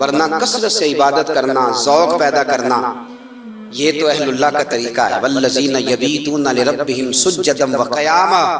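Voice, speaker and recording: Noticeable background noise around a fairly high-pitched man with ordinary pitch variation. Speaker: Islamic preacher. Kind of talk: religious sermon. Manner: emotional, passionate.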